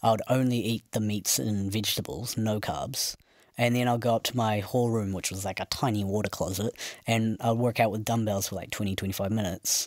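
A man talks at a moderate pace with fairly even intonation. The background is quiet, and the sound is dry with no echo. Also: fairly low pitch for a man. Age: 20s. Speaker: interviewee sharing a weight-loss and fitness journey; interviewee. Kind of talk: casual interview. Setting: studio with microphones. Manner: soft-spoken; speaks quietly. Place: studio.

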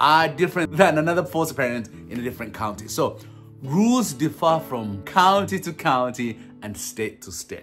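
With a Ugandan accent, a man speaks at a moderate pace and a fairly high pitch, his loudness swinging widely and his pitch ranging very widely. Faint music plays behind him. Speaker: foster parent and speaker. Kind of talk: casual talk to camera. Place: home room. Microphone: phone near.

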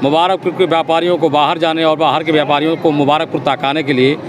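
Against noticeable background noise, a man speaks at a moderate pace with ordinary pitch variation, the sound dry with no echo. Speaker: party politician. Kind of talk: interview answer. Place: hall.

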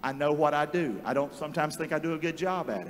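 A very fast, fairly high-pitched male voice. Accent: Southern US. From North Carolina. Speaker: pastor. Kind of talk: sermon. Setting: church. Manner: animated. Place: church. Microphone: handheld.

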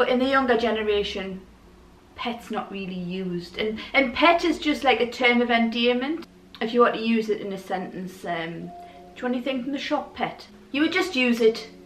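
With a Geordie accent, a woman talks at a moderate pace in a fairly high pitch, her intonation lively. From Newcastle, England. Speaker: vlogger. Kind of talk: casual talk to camera. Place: home room.

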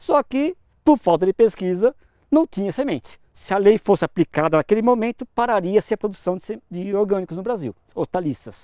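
The voice has a dark, mellow tone and lively intonation at a moderate pace. The background is quiet, and the sound is dry with no echo. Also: man, high pitch for a man. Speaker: agronomy professor and researcher; agronomy professor. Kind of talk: interview. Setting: on location at an experimental farm. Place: farm. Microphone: lapel.

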